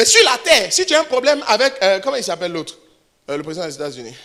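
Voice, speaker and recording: A man speaks at a fairly quick pace in an animated tone. His pitch swings very widely. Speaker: pastor. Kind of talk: sermon. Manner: fast.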